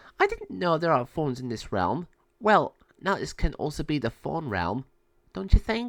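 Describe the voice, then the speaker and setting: In a put-on character voice, a man speaks at a fairly high pitch and moderate pace, on a very clean recording with a silent background. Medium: read story.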